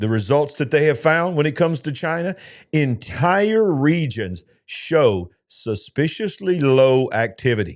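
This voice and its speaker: A man with a fairly high voice swings his pitch very widely in a very clean recording with a silent background. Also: fairly slow pace. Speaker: pastor. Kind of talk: news commentary show narration. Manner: dramatic, questioning.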